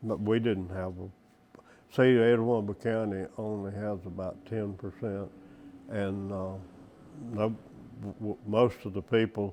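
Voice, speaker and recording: Here a man speaks with a Southern US accent at a fairly slow pace. His fairly low voice has a dark, mellow tone and monotone, flat intonation. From Mississippi. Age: 80s+. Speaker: oral history interviewee. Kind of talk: interview answer.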